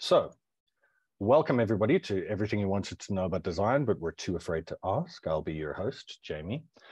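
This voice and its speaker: A man talks very fast at a fairly low pitch. The background is quiet. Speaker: UX/UI designer. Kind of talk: webinar presentation. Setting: online webinar.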